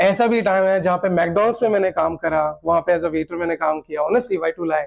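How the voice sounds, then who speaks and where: The voice belongs to a man and sits high in pitch. Its pitch variation is ordinary. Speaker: radio jockey (RJ), podcast guest. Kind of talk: casual conversational storytelling in podcast interview, Hindi mixed with English.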